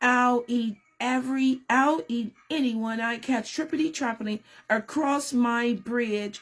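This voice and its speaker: Using a put-on character voice, a woman growls in a high pitch at a fairly slow pace with hardly any pauses. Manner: fierce, growling.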